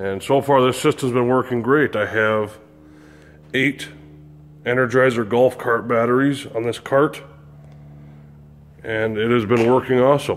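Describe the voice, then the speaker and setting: A man speaks at a fairly slow pace, leaving long, frequent pauses. His intonation stays fairly even over light background noise. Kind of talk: casual tour narration. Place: garage. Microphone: phone near.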